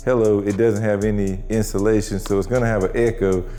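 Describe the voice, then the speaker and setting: A man speaks with fairly even intonation in a room with audible echo and music in the background. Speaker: car channel vlogger. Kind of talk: casual vlog. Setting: garage shop. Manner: casual, conversational.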